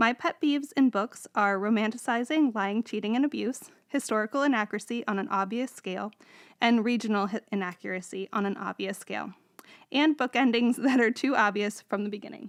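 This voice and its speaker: A woman speaks in a normal speaking voice, fairly high-pitched with ordinary pitch variation and a fairly quick pace, in a very clean recording with a silent background and a dry, close sound with no echo. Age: 30s. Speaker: librarian, podcast co-host. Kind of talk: scripted self-introduction.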